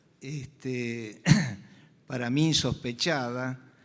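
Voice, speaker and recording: Medium in pitch, a man's voice keeps a fairly even intonation. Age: 70s. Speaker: anesthesiologist, audience speaker. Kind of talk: panel discussion. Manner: halting, many fillers.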